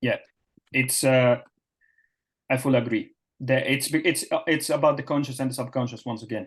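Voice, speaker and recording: A man talks at a medium pitch in a monotone, flat way. His voice is somewhat breathy, with long, frequent pauses. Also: moderate pace. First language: not English (English is third language). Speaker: performance coach. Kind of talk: webinar presentation. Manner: halting, many fillers.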